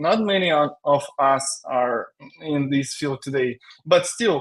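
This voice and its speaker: A man speaks with a Russian accent. His intonation is lively. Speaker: tech company CTO, software engineer. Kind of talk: live webinar interview. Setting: live stream. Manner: halting, many fillers.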